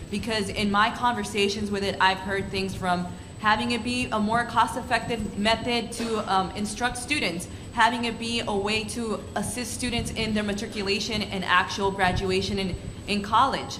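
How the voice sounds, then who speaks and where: Over noticeable background noise and audible room echo, a woman speaks at a moderate pace with a fairly high pitch and flat, monotone intonation. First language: Spanish. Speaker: student panelist. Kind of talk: panel discussion.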